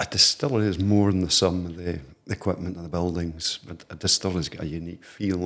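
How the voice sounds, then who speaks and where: A man's very deep, low voice, fairly even in intonation at a moderate pace, over a quiet background. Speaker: guest. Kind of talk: interview answer. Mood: warm, proud, relaxed. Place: home room. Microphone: studio mic.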